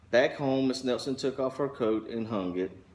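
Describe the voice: The text is given as plain reading aloud. Pitch moves with ordinary variation.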